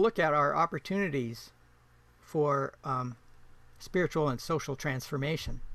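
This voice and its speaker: Here a man talks at a moderate pace. His pitch sits fairly high. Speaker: permaculture presenter. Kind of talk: online presentation. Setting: video call.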